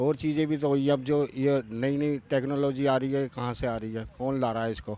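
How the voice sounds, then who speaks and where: A man speaks in a monotone with flat intonation and a dark, mellow tone. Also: medium pitch for a man. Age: 50s. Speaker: voter interviewed on street. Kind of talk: street interview.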